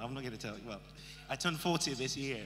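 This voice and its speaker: The man's speech shows ordinary pitch variation while noticeable background noise runs beneath it. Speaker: guest preacher. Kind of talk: sermon. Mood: warm, lightly humorous. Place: hall. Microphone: handheld.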